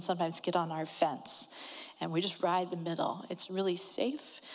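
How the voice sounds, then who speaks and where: Speaking at a moderate pace, a woman uses an ordinary speaking voice pitched fairly low. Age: 40s. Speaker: adoptive mother. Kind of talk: testimony.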